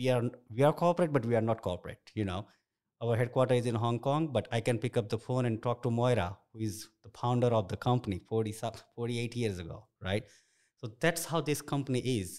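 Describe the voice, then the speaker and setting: Spoken at a fairly quick pace with an Indian accent, the voice shows ordinary pitch variation on a very clean recording with a silent background. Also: man, medium pitch for a man. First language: an Indian language. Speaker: construction director. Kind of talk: interview. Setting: office.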